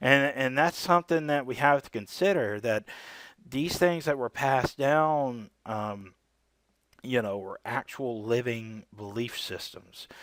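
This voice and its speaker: Recorded very cleanly against a silent background, a man talks in a normal speaking voice at medium pitch with ordinary pitch variation. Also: fairly slow pace. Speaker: religious video creator. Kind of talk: solo video commentary on scripture. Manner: casual, with many fillers.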